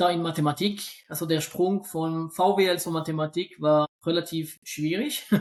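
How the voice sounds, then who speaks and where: Speaking at a moderate pace with hardly any pauses, a man with a non-native accent uses a high pitch and monotone, flat intonation. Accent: noticeable accent, weak Swiss German. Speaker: statistics lecturer and investment expert. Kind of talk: podcast interview. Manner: hesitant, many fillers and repetitions.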